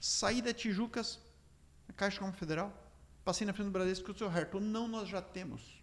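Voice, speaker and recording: A man with a high pitch, an animated tone and a fairly quick pace. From Rio Grande do Sul, Brazil (Três Passos region). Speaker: entrepreneur. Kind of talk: interview storytelling. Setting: studio.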